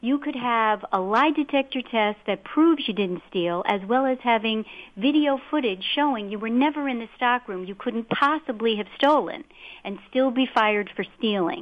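A woman's normal speaking voice, fairly high in pitch, at a moderate pace with lively intonation. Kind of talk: talk radio discussion.

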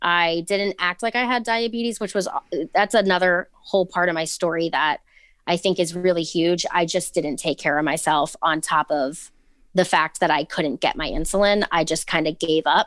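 A woman's fairly low voice with an American accent, moderate pace and ordinary pitch variation, in a dry, close sound with no echo. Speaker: TikTok creator who recently lost her sight. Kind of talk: casual interview.

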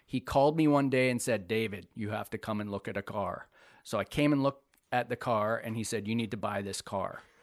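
A man with a Canadian Prairies accent speaks fairly quickly at a medium pitch with ordinary pitch variation. The sound is dry and close with no echo, against a quiet background. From northern Manitoba, Canada. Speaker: graphic designer. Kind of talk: casual interview.

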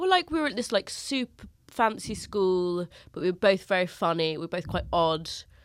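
In a London accent, a woman of medium pitch talks at a moderate pace with lively intonation, in a very clean recording with a silent background. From North London, England. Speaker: comedian. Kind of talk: casual chat. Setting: studio.

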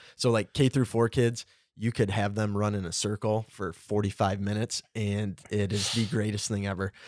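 A man with an Upper Midwest accent, fairly even intonation, and a moderate pace, in a very clean recording with a silent background and a dry, close sound with no echo. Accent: Upper Midwest American. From Michigan, Clare. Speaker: teacher and football coach. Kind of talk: casual chat.

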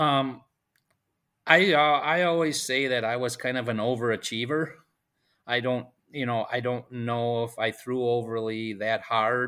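With an Upper Midwest accent, a man speaks at a medium pitch and a fairly slow pace, with ordinary pitch variation. His tone is bright and sharp, and the recording is very clean with a silent background. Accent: Upper Midwest American. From central Wisconsin. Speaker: high school baseball coach. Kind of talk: interview.

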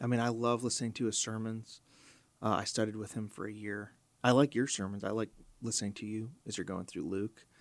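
In an American accent, a man with a normal speaking voice talks at a fairly quick pace, his fairly low pitch set in fairly even intonation on a very clean recording with a silent background. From US Midwest, Chicago. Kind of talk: podcast interview. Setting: studio.

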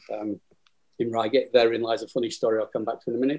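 In a Lancashire accent, a man talks at a very fast pace. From northern England, Burnley, Lancashire. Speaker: wargames rules writer. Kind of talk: casual chat. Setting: phone call.

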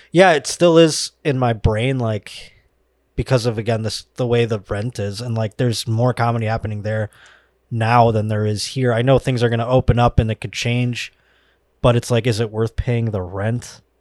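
A man with an American accent talks at a moderate pace and medium pitch, with fairly even intonation, in an unremarkable speaking voice. The recording is very clean, with a silent background and a dry, close sound with no echo. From Buffalo, New York. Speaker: comedian. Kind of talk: casual chat.

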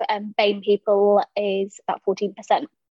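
A woman speaks with a London accent. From South London. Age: 20s. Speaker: small animal vet. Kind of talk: interview conversation.

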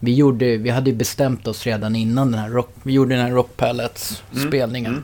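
The man's pitch is medium. He delivers everything in a monotone, flat way. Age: 30s. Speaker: rock musician. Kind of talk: casual interview. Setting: in person in Enköping.

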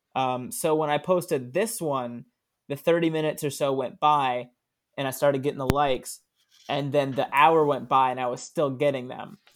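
This man has a plain, everyday voice and an American accent, pitched fairly high. He talks at a moderate pace with ordinary pitch variation. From Florida (Daytona Beach). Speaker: comedian. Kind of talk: casual chat.

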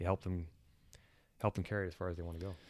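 The speech moves at a very fast pace with monotone, flat intonation. The recording is very clean, with a silent background. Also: man. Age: 40s. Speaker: outdoor sports enthusiast. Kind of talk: casual chat.

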